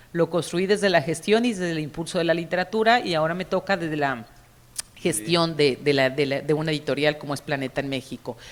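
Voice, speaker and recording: Talking at a fairly quick pace, a woman uses a very deep, low pitch with ordinary pitch variation. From Mexico. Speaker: publishing executive and cultural manager. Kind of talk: conference panel talk. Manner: hesitant, with repeated fillers.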